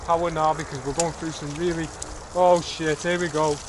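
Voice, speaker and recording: A man talks fairly quickly while noticeable background noise plays underneath. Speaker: vlogger reviewing a folding bike. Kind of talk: casual vlog while cycling outdoors. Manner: loud; animated, rambling.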